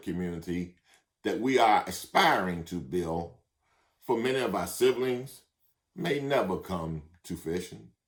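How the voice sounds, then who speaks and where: This man's pitch is very deep and low. His intonation is lively. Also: very clean recording, silent background. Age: 60s. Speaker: minister. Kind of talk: sermon.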